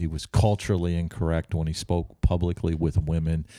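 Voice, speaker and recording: A man with a very deep, low pitch and a dark, mellow tone, in an American accent, on a very clean recording with a silent background. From upstate New York, Albany. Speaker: pastor. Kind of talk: casual chat. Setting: cigar shop.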